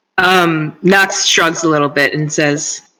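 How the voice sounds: A woman's low-pitched voice with a bright, sharp tone, fairly even intonation and a slow pace.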